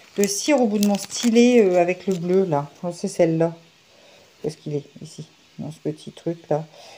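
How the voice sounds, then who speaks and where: A woman talks at a medium pitch, her pitch varying in an ordinary way. Her loudness swings widely, and she leaves long, frequent pauses. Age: 30s. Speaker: diamond painting vlogger and nurse. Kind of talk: casual vlog chat while crafting. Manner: fast; halting with many fillers.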